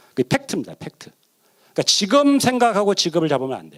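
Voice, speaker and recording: The sound is dry and close with no echo as a man speaks with very wide pitch swings. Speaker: professor, seminar speaker. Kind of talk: lecture. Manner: fast.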